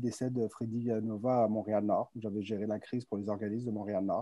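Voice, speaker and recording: The man's voice has a dark, mellow tone. He moves along at a fairly quick pace. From France. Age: 30s. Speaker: entrepreneur, public relations firm president. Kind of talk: virtual conference interview. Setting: video call.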